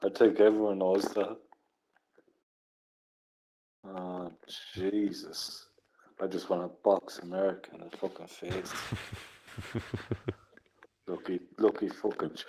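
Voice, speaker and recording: A man with an Irish accent speaks fairly slowly in a dark, mellow, fairly low voice, with monotone, flat intonation, long, frequent pauses and big swings in loudness. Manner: relaxed.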